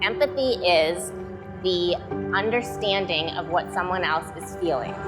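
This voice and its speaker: Music plays behind a woman speaking with an American accent. She talks at a fairly slow pace. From Metro Detroit. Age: young. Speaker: keynote speaker. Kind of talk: keynote speech to live audience.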